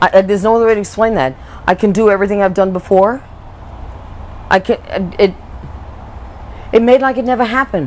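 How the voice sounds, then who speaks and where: A woman's animated, medium-pitched voice, very fast yet broken by long, frequent pauses. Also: ordinary pitch variation. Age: 60s. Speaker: patient giving testimonial. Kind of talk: testimony. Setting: on camera interview.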